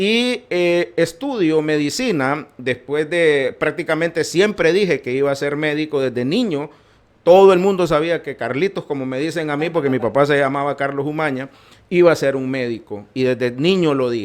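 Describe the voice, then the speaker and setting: A man speaks in a normal speaking voice, pitched fairly high. His intonation is lively and his pace moderate. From Honduras, Tegucigalpa. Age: 60s. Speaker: physician and politician. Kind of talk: podcast interview.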